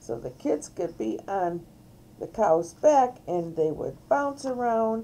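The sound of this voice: Intonation rises and falls in a lively way across an unforced reading voice.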